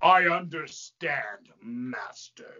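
A put-on character voice sits at a middle pitch. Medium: stage play.

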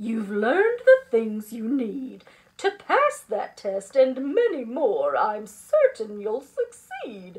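A put-on character voice speaks at a slow pace, its pitch swinging very widely. The tone is slightly mellow with a slightly husky edge. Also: woman, high pitch for a woman.

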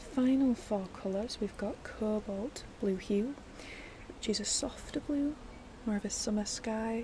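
A woman talks rather slowly, using ordinary pitch variation, while noticeable background noise carries on. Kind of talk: soft personal-attention roleplay chat. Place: garden. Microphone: phone near.

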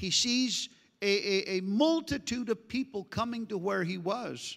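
At a fairly slow pace, a man speaks in a raised, projected voice with a bright, sharp tone and ordinary pitch variation against a quiet background. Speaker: pastor. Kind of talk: sermon. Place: church. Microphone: handheld.

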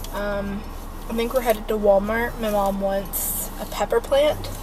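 A woman with fairly even intonation over noticeable background noise. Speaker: vlogger. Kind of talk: casual vlog chat. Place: car. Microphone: phone near.

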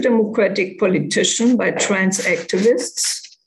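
In a German accent, a woman speaks at a very slow pace. Her pitch is fairly high. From Germany. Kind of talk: prepared talk. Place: home room. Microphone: webcam.

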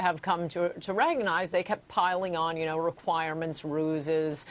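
A woman with a fairly low voice speaks at a fairly slow pace. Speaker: remote guest. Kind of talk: interview answer. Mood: defiant, amused. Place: studio.

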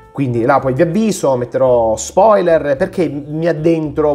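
A man with a fairly high pitch talks at a moderate pace. His intonation is lively, and faint music sits in the background. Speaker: book reviewer, ophthalmologist; book reviewer. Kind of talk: casual book review monologue. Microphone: phone near.

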